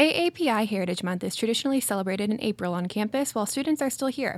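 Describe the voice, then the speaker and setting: The woman's pace is very fast, and her pitch is fairly high. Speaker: graduate student and committee co-chair. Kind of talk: scripted introduction.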